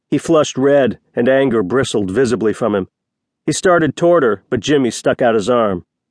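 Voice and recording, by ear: Reading aloud in a natural voice with lively intonation against a quiet background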